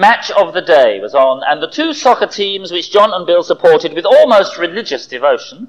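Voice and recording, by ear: A passage read aloud in a natural voice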